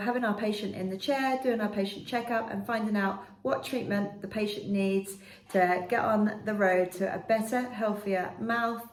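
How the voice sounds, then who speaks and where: A woman speaks at a fairly high pitch with ordinary pitch variation. Noticeable background noise and audible room echo surround her. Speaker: dental nurse. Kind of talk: informational talk to camera. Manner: clear.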